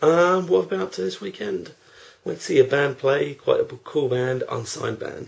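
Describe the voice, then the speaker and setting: The speaker is a man. He has an English accent and keeps a moderate pace. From England. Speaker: theme park vlogger. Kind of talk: casual vlog monologue. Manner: unscripted, one take. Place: home room. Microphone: webcam.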